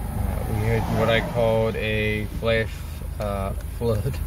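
A man talks at a very slow pace. Loud background noise fills the recording. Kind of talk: casual vlog chat. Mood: relaxed, amused. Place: car. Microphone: phone near.

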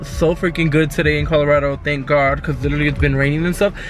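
Over clear background music, a man talks at a very fast pace, the sound dry with no echo. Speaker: vlogger. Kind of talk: casual vlog chat. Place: car. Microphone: phone near.

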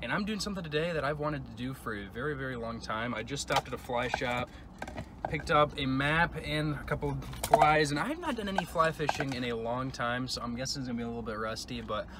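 Over loud background noise, a man talks at a very fast pace with ordinary pitch variation and a dry sound with no echo. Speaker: travel vlogger. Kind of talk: casual vlog chat. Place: car. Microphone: phone near.

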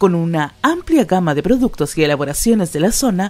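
With music in the background, a woman talks at a moderate pace in a medium pitch that swings very widely. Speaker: voice-over artist. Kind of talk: radio/TV commercial read.

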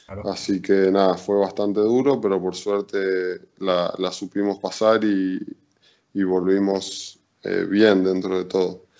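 Very slowly, a man talks at a fairly low pitch. His intonation is monotone and flat, over a quiet background. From Argentina, Chaco then Carlos Paz (Córdoba); Argentina. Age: 20s. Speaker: volleyball player; interviewee. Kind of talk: interview. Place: home room. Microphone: video call.

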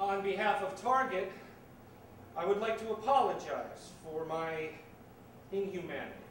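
Amid light background noise and audible room echo, a man talks at a moderate pace in a high pitch with ordinary pitch variation. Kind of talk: theatrical monologue. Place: stage.

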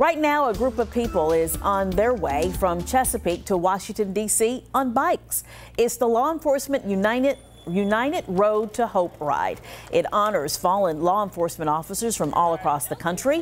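A woman speaks at a moderate pace. Faint music plays behind her. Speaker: news anchor. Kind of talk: news reading. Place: studio. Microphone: lapel.

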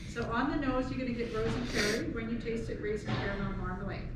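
Over loud background noise and audible room echo, a woman talks at a very fast pace. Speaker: winery tasting host. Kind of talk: tasting explanation to guests. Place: shop. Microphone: camera far.

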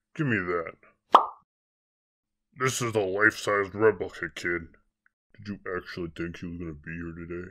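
A cartoonish character voice comes at a moderate pace with long, frequent pauses in a very clean recording with a silent background. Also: man, very deep, low pitch for a man. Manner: curt, dismissive.

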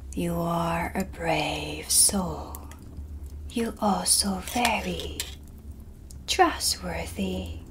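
A soft-spoken woman uses a put-on character voice at a very slow pace, with long, frequent pauses. Loud background noise fills the recording. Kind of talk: ASMR roleplay.

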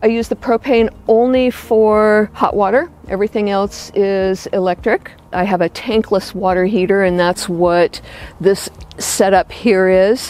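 A woman speaks with fairly even intonation and very even loudness. The sound is dry, with no echo. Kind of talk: home tour explanation. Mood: warm, content. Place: garden.

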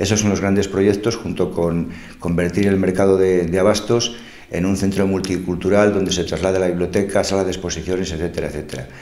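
With audible room echo, a man with a very deep, low pitch talks at a fairly quick pace in a monotone, flat delivery. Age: 60s. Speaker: local politician. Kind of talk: interview answers, campaign proposals. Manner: halting, with frequent fillers. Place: studio.

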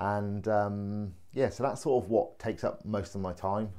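This man has a dark, mellow tone and a fairly low pitch, with an English accent. He speaks at a moderate pace. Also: quiet background. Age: 40s. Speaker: vlogger and laughter yoga enthusiast; vlogger. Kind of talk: personal video introduction. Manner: hesitant, many fillers. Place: home room. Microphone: phone near.

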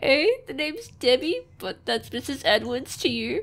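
A female-sounding voice speaks at a high pitch. It is a put-on character voice. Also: moderate pace. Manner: haughty.

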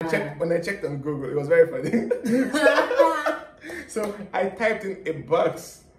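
A Nigerian accent at a moderate pace, with long, frequent pauses, audible room echo and light background noise. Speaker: co-host. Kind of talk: casual talk to camera. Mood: cheerful, laughing. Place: home room. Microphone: camera far.

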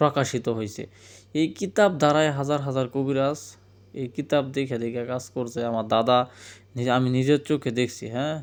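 Pitched at a medium level with ordinary pitch variation, the man talks in a normal speaking voice. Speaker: folk healer selling books. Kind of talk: sales pitch. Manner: casual, repetitive.

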